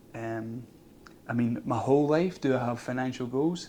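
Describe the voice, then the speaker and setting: A dark, mellow tone carries the voice. Its pitch shifts in an ordinary way. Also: man. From Scotland. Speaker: vlogger. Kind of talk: casual vlog monologue. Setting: outdoors.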